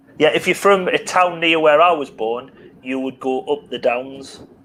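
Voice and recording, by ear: A man speaks with a North East England accent and ordinary pitch variation. There is noticeable background noise. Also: fairly high pitch for a man, moderate pace. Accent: North East English regional.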